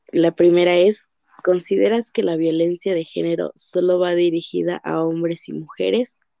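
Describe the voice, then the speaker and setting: A woman speaks at a moderate pace in an ordinary speaking voice, her fairly low pitch showing ordinary pitch variation. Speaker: psychology student interviewer. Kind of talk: interview.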